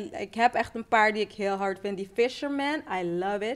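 With an animated tone, a woman speaks using lively intonation. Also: very clean recording, silent background. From Netherlands, Rotterdam. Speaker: musician. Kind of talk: casual chat.

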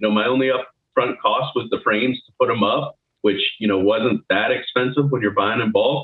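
A man at medium pitch and moderate pace, a plain, everyday voice. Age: 30s. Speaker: recruiter and crypto trader. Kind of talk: interview.

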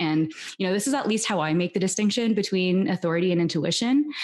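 Her voice is an unremarkable speaking voice, and this woman, with a Canadian accent, talks at medium pitch and a fairly quick pace with lively intonation. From Canada, Toronto. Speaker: human design teacher and podcast host. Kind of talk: interview, teaching explanation.

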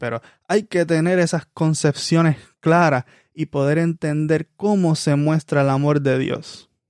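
With a normal speaking voice and a fairly high pitch, a man talks at a fairly slow pace and fairly even intonation, in a dry, close sound with no echo. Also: very clean recording, silent background. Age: 20s. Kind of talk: sermon.

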